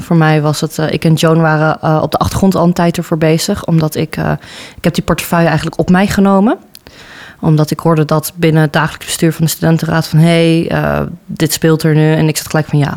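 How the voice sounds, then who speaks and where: Talking at a fairly quick pace, a woman with a very deep, low voice keeps her intonation flat and monotone. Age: 20s. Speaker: student council vice-chair. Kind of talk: interview.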